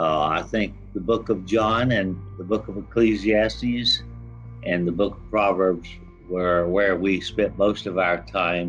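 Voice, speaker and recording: Over background music, a man with an American accent talks at a fairly slow pace in a very deep, low voice with lively intonation. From Florida. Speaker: author and real estate developer; Vietnam war veteran. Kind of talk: interview answer. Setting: online call.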